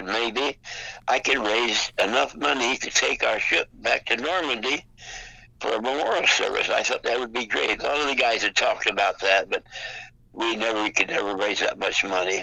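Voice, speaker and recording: The man keeps a moderate pace. Noticeable background noise runs through the clip. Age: 90s. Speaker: World War II Navy veteran. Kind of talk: phone interview answer. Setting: phone line. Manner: hesitant, many fillers.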